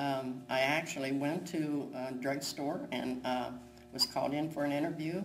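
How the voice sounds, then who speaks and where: Over music in the background, a woman with a very deep, low pitch talks at a moderate pace with fairly even intonation. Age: 80s+. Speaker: retail worker. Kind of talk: interview answer.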